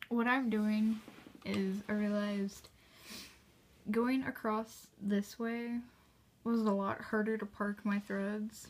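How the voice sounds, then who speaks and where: Her fairly high, somewhat breathy voice stays monotone and flat as this woman talks at a very slow pace with long, frequent pauses. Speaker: cross-stitch hobbyist vlogger. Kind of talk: casual chat. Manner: rambling, halting with fillers.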